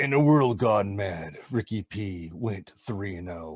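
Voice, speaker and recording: Putting on a booming character voice, a man speaks at a fairly low pitch and a fairly slow pace, with lively intonation and big swings in loudness. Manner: epic, dramatic.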